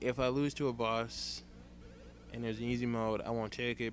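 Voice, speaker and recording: The man's medium-pitched voice moves at a fairly quick pace. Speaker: let's play gamer. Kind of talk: gameplay commentary. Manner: fast; halting.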